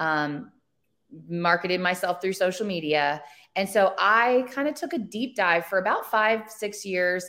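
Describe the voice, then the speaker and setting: An unremarkable speaking voice talks at a moderate pace. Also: woman. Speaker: brand owner and social media marketer. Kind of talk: casual interview chat.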